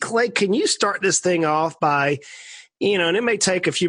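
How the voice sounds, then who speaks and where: A man speaks at a fairly quick pace in a South Georgia accent. His pitch variation is ordinary, and the sound is dry and close with no echo. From US South, South Georgia. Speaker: podcast host, financial planner. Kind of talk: interview.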